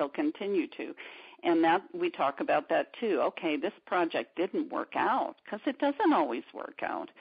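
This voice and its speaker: At a moderate pace, a woman talks with vocal fry and very wide pitch swings. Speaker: art therapist and art teacher. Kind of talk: interview. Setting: radio interview.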